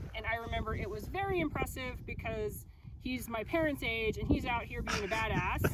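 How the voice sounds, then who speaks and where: The talking moves along fairly quickly, with noticeable noise behind it. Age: 40s. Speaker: long-distance hiker and teacher. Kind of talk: casual chat.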